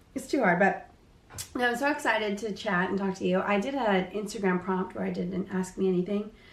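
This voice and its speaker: Noticeable background noise surrounds a woman at medium pitch. She moves at a fairly quick pace with ordinary pitch variation. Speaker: podcast host. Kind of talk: casual chat. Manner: animated.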